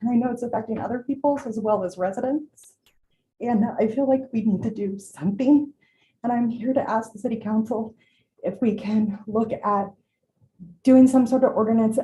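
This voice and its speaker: A somewhat breathy woman with an American accent, fairly high pitch, dark, mellow tone, fairly even intonation and moderate pace. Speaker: small business owner. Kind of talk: public comment at council meeting. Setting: city council chamber. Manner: halting.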